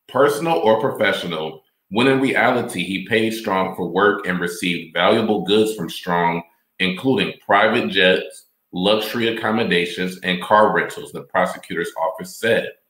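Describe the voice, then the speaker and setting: A man's normal speaking voice, fairly low in pitch, at a moderate pace with ordinary pitch variation. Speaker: podcast host. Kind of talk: live commentary podcast, reading articles and reacting to clips. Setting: live stream.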